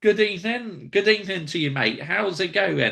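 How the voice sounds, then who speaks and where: A bright, sharp male voice with vocal fry. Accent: slight Bristol. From West Country England, Somerset. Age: 30s. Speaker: football YouTuber. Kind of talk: live stream chat with viewers. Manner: casual, conversational.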